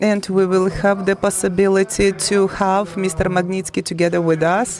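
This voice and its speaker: This woman's medium-pitched voice carries a non-native accent. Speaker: forum moderator. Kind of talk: event moderation. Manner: halting.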